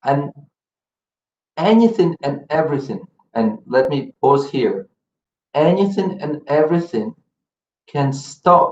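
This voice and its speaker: A man with a non-native accent, a fairly high pitch and lively intonation. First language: not English. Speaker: spiritual teacher. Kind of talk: religious lecture. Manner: halting, with fillers and repetitions.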